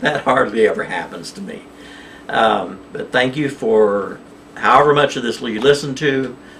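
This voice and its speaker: Through noticeable background noise, a man with an American accent speaks at a fairly slow pace and medium pitch with lively intonation. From Oklahoma. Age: 60s. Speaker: cryptocurrency vlogger. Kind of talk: casual monologue to camera. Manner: agitated, manic; halting, many fillers.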